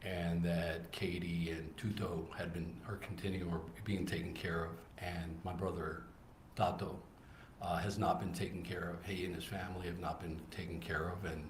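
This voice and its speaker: The speech moves at a moderate pace with fairly even intonation. Audible room echo fills the recording. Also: man, very deep, low pitch for a man. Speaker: trial witness, undercover operative. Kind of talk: courtroom testimony. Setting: courtroom. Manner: halting.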